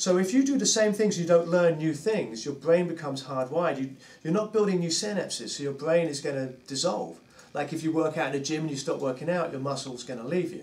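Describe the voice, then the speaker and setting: A man with a London accent speaks at a very fast pace in a fairly high pitch with lively intonation, amid noticeable background noise and audible room echo. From England, London. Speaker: drummer and drum teacher. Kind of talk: casual interview chat.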